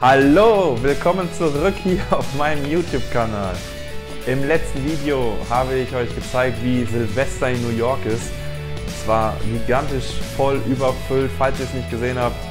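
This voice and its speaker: Clear music plays in the background. A man speaks over it at a fairly slow pace. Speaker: travel vlogger. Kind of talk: casual vlog chat. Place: home room. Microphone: lapel.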